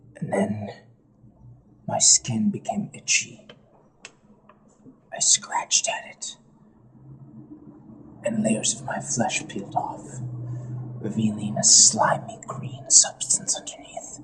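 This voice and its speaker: A man puts on a character voice at a fairly slow pace. His delivery is broken by long, frequent pauses. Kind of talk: in-character party confession. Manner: slow, ominous horror storytelling.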